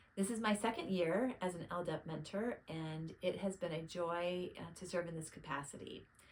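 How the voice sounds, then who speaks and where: Against noticeable background noise, a woman talks in a fairly low voice with ordinary pitch variation and hardly any pauses. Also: moderate pace. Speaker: program mentor. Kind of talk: recorded video testimonial. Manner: halting, restarts sentences.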